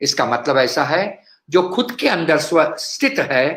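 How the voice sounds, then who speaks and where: His voice sits high for a man. He speaks with very wide pitch swings. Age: 70s. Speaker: cardiologist and speaker. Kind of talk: health talk.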